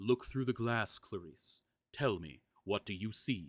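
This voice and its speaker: A man puts on a character voice, fairly low in pitch and at a fairly slow pace. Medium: read story. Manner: seductive, gentle, intent.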